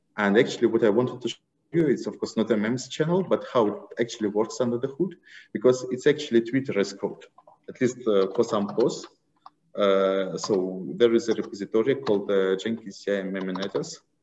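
A man speaks at a fairly quick pace with lively intonation. Light background noise can be heard. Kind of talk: tech talk with screen demo.

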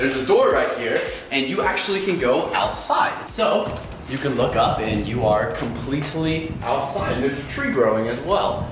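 Over noticeable background noise and audible room echo, a man talks at a moderate pace. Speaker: vlogger. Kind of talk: casual vlog chat. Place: home room. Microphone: camera far.

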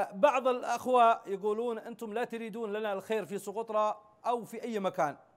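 A man talks in a high voice against a quiet background. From Yemen, Socotra; Yemen. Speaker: interview guest. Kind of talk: TV interview. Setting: satellite link. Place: studio.

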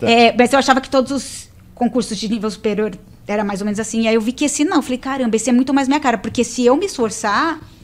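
A woman talks very fast in a fairly high voice, and her pitch varies in an ordinary way. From Brazil. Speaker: tax auditor, interviewee about passing civil service exams; interviewee. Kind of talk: casual interview. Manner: animated. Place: studio. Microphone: studio mic.

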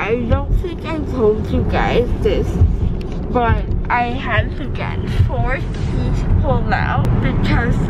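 A woman talks very slowly in a dry, echo-free sound, with loud noise behind her. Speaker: vlogger. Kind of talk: casual vlog chat. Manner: thick, numb-mouthed speech to camera.

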